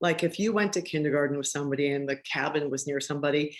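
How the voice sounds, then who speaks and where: Very fast speech comes with an American accent. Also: woman. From Massachusetts, Boston area. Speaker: arts fundraising executive. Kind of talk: masterclass talk.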